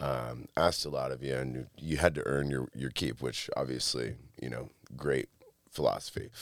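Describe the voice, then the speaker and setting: A man with an American accent speaks in a very deep, low pitch with vocal fry. His intonation is fairly even and his pace moderate. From Michigan, US (Monroe, near Detroit). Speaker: entrepreneur and art gallery owner. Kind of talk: casual chat.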